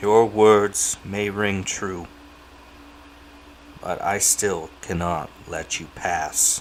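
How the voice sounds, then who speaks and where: A man puts on a booming character voice with a fairly low pitch and fairly even intonation, at a very slow pace with long, frequent pauses. Clear background noise can be heard. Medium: read story. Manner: stern, commanding.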